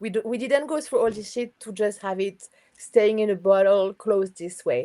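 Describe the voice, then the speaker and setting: A woman with a non-native accent speaks at a moderate pace in a fairly high, dark, mellow voice, with ordinary pitch variation and big swings in loudness. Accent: foreign. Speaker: astrologer. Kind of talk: casual interview chat. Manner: enthusiastic.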